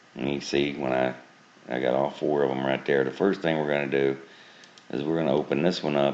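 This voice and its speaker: With noticeable background noise, a man talks at a fairly quick pace in a very deep, low pitch and monotone, flat intonation. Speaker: software tutorial maker. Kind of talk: tutorial. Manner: casual.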